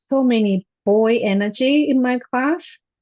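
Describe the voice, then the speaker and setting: In a Japanese accent, a woman with a high pitch speaks at a very slow pace. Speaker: high school Japanese teacher. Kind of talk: panel discussion.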